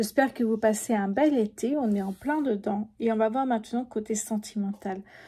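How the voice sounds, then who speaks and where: Soft-spoken and somewhat breathy, a woman talks at a moderate pace with hardly any pauses. Her pitch is fairly high and her intonation fairly even. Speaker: tarot reader. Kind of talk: tarot reading.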